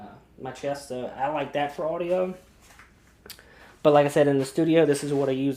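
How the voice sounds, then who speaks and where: Soft-spoken, a man uses a dark, mellow tone at a fairly high pitch with fairly even intonation. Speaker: video creator, photographer. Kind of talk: tutorial. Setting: home studio. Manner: casual, uses lots of fillers.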